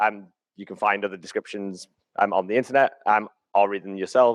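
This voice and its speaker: A man speaks at a moderate pace with a British accent. The sound is dry and close, with no echo. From UK. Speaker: conference speaker. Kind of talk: keynote talk. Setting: stage with audience. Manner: hesitant, many fillers.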